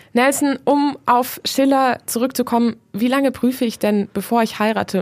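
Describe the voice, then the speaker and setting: The speech moves at a moderate pace with hardly any pauses, very even loudness and ordinary pitch variation. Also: woman. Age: 20s. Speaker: student radio host. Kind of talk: moderated discussion.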